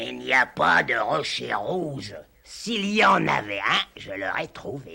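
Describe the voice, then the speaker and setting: A man speaks in a raspy, cartoonish character voice at a medium pitch and a fairly slow pace. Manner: shouty, bossy, short-tempered.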